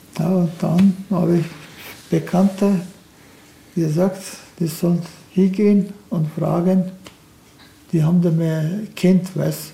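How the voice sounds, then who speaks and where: Against noticeable background noise, a man with a Turkish accent speaks very slowly in a high, monotone, flat voice, leaving long, frequent pauses. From Turkey. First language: Turkish (speaking German). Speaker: retired car factory welder. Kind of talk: casual interview.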